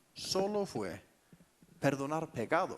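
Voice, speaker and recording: At a very slow pace, a man with an Icelandic accent speaks at a fairly high pitch with lively intonation. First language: Icelandic (speaking Spanish). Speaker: pastor. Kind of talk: sermon.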